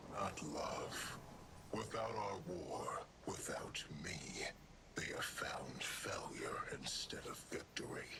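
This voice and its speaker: A man's whispered, put-on character voice over loud background noise. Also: fairly slow pace. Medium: machinima. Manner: haughty, grave.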